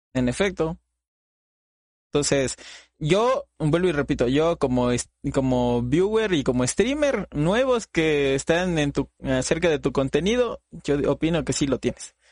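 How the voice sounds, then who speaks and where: An ordinary speaking voice from a man, fairly high in pitch, at a fairly slow pace with lively intonation, very even loudness and a dry, close sound with no echo. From Latin America, not Mexico. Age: 20s. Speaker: podcast host and streamer. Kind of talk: casual interview chat.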